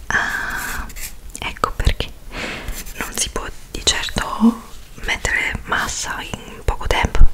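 A woman is whispering. Her pace is very slow. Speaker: ASMR roleplay host. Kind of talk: ASMR roleplay. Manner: whispered, soft-spoken. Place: home room. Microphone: studio mic.

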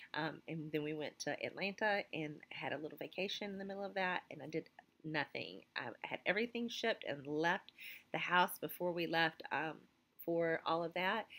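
Fairly low-pitched for a woman, this voice has a bright, sharp tone and an American accent. She keeps a moderate pace with ordinary pitch variation. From US South. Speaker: teacher and clothing retailer vlogger. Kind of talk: casual vlog talk to camera. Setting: school office. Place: classroom. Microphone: phone near.

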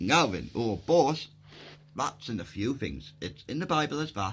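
A man speaks with vocal fry, his pitch swinging very widely at a moderate pace. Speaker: video blogger. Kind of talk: casual monologue explaining theories; casual vlog chat. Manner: rambling, hesitant with fillers. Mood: enthusiastic, rambling. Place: home room. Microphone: phone near.

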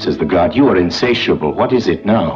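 Over clear music in the background, a man speaks at a moderate pace with lively intonation. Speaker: narrator. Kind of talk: dramatic parable narration. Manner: measured, engaging. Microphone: old recording.

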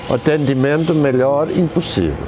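Noticeable background noise runs through the clip. A man is the one talking. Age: 70s. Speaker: hospital psychiatry outpatient. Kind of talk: patient testimonial interview. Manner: hesitant, conversational. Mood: calm, grateful. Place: garden. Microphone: lapel.

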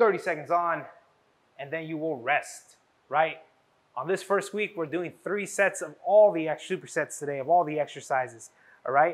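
At a moderate pace, a man talks in a high pitch with ordinary pitch variation. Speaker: fitness trainer. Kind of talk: workout instruction. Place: gym.

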